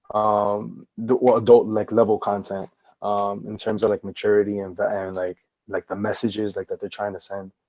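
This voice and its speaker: A man with a New Jersey accent, a fairly low pitch, a monotone, flat intonation, big swings in loudness and a moderate pace. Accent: New Jersey American English. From New Jersey, Paterson. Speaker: educator and artist, podcast guest. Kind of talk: casual chat. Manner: halting, many fillers.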